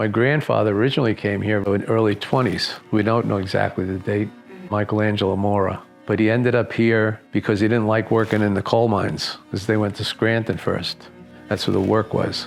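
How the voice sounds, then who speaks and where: Over music in the background, a man with a fairly low pitch talks at a fairly quick pace in a monotone, flat intonation. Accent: New York. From New York, Long Island. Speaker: community elder. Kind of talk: interview. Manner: halting.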